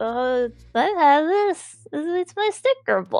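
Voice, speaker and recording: A woman's put-on character voice, extremely high-pitched with very wide pitch swings, at a very slow pace, in a dry, close sound with no echo. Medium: actual play.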